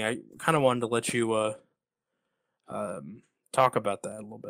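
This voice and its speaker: With an unremarkable speaking voice, a man talks at a fairly quick pace and medium pitch with ordinary pitch variation. His loudness swings widely. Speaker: podcast host. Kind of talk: podcast interview, conversational.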